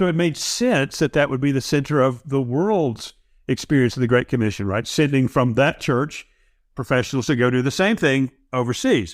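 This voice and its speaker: In a very clean recording with a silent background, a man with an American accent speaks at a moderate pace and medium pitch, with ordinary pitch variation and very even loudness. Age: 60s. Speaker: podcast host. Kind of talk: interview conversation. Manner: halting, many repetitions.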